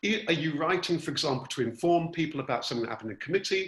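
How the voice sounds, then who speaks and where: The background is quiet. Audible echo from the room comes through. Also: man. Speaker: workshop facilitator. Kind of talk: online workshop tutorial. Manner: chatty. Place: home room. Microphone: video call.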